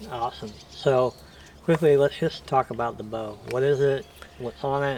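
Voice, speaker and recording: A quiet, mumbling man at medium pitch with ordinary pitch variation. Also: moderate pace. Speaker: outdoor hunting channel host. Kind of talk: casual interview chat. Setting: outdoors at a shooting range.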